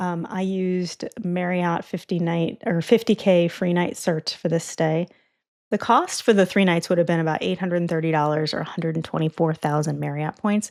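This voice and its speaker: A woman's plain, everyday voice, fairly low in pitch, at a moderate pace with fairly even intonation on a very clean recording with a silent background. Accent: American. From United States. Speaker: travel points expert. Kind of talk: casual chat. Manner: casual, many fillers.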